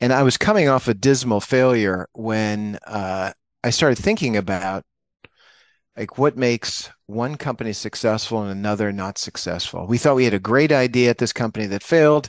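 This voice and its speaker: A man speaks at a moderate pace in a normal speaking voice, his pitch medium with ordinary variation. The background is quiet, and the sound is dry and close with no echo. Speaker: business consultant executive. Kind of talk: podcast interview.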